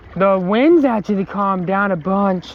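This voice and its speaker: Over noticeable background noise, a man speaks at a fairly slow pace. His pitch is high, with ordinary variation. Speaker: outdoor vlogger. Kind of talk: casual vlog narration. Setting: outdoors, kayaking on a creek. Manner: halting.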